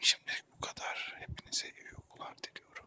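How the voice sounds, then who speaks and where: Whispering at a moderate pace, a man comes through a dry, close sound with no echo amid noticeable background noise. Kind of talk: ASMR intro talk. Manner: whispered.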